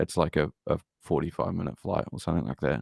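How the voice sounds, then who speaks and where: In a New Zealand accent, a man with vocal fry speaks at a moderate pace, with a dry, close sound with no echo and a quiet background. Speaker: deathcore band member. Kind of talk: casual interview chat. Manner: halting, many fillers.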